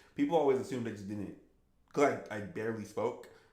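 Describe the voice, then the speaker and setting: A man speaks with audible room echo. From US, Haitian refugee family. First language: Haitian Creole. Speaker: gaming streamer. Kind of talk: live stream Q&A, casual chat.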